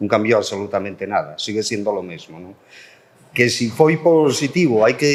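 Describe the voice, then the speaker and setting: This is a man speaking. His pitch is medium. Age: 60s. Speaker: politician, language policy spokesperson. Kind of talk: panel debate. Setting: public round table with audience.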